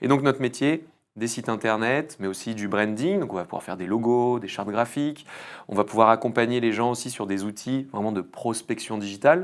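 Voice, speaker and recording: A man with a normal speaking voice talks at a fairly quick pace, medium in pitch with ordinary pitch variation, in a very clean recording with a silent background. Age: 30s. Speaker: entrepreneur, agency founder. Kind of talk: podcast interview. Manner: casual, filler-heavy.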